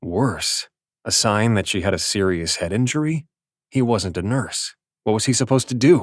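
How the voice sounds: The reader uses a natural reading voice. Nothing stirs in the background.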